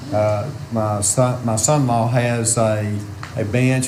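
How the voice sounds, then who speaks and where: A man with an Arkansas accent is heard with audible room echo and noticeable background noise. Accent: US Southern (Arkansas). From Arkansas (Lynn). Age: 60s. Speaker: farmer. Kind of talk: public comment at meeting. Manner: halting, many fillers.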